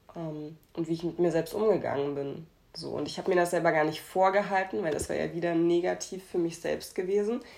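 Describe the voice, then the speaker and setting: A woman talks in a plain, everyday voice. Her pitch is fairly low and her pace fairly quick. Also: ordinary pitch variation. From Hamburg, Germany. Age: 20s. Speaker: podcast co-host. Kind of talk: casual chat.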